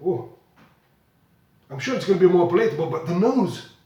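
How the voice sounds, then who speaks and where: Audible room echo surrounds a man with a Flemish accent. His intonation is lively. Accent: Belgian Dutch (Flemish) accent in English. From Belgium. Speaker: whisky blogger. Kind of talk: whisky tasting review. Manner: halting, with repetitions.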